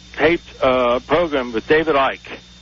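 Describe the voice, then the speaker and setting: A fairly high-pitched man with ordinary pitch variation over noticeable background noise. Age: 60s. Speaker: caller. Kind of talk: call-in radio talk. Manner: halting, many fillers.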